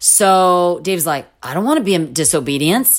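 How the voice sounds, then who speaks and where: Speaking in a normal speaking voice, a woman with an American accent talks at a moderate pace and a fairly low pitch. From Orange County, California. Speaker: missionary and preacher. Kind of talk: testimony.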